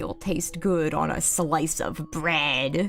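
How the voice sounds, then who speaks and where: A woman uses a put-on character voice with a very deep, low pitch at a very slow pace. Faint music plays in the background. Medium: virtual streamer.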